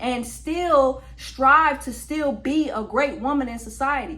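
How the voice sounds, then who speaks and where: A woman with a high pitch raises and projects her voice in an animated tone, using ordinary pitch variation. Audible room echo and noticeable background noise fill the recording. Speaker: podcast host. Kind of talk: opinion monologue.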